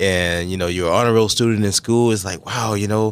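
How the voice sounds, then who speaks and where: A man with an ordinary speaking voice, fairly low in pitch with ordinary variation, with an American accent, in a very clean recording with a silent background. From South Carolina, US. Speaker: navy veteran and realtor. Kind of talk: radio interview.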